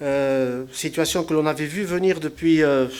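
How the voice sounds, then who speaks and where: A man's fairly high voice, fairly even in intonation, at a fairly slow pace. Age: 60s. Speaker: local elected official, retired railway worker. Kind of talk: public speech. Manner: halting, many hesitations and repetitions.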